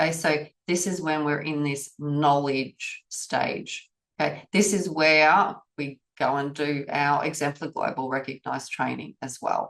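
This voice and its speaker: A woman's very deep, low voice with an Australian accent, fairly even in intonation and fairly slow in pace. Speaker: auditor trainer. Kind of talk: webinar presentation. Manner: casual.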